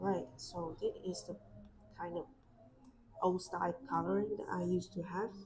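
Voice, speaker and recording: In a Vietnamese accent, a woman talks at a moderate pace with long, frequent pauses. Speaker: artist YouTuber. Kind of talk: casual chat while drawing on a livestream. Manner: hesitant, with fillers and restarts.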